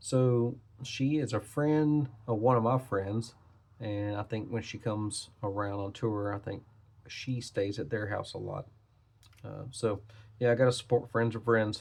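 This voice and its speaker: On a very clean recording with a silent background, a man of medium pitch speaks fairly slowly, somewhat breathy, with fairly even intonation. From Tennessee (Nashville). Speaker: trading card collector / YouTuber. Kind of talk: casual product review, card opening. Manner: casual, hesitant with fillers.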